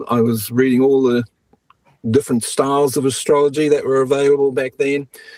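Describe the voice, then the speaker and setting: The voice has a dark, mellow tone and a New Zealand accent. Its intonation stays monotone and flat. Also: man. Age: 60s. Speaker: astrologer. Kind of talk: interview.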